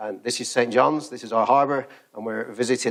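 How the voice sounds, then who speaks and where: Speaking very fast, a man with a British accent uses ordinary pitch variation. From Britain. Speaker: research engineer. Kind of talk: conference keynote talk. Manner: hesitant, many fillers.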